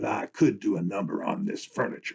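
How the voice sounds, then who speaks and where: A man's raspy, put-on character voice at a medium pitch and fairly quick pace. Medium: read story. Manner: casual, wisecracking.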